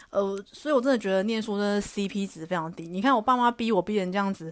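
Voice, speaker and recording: A woman's medium-pitched voice with ordinary pitch variation at a fairly quick pace, very clean recording, silent background. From Taiwan, Taichung. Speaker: podcast host. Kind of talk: casual solo monologue.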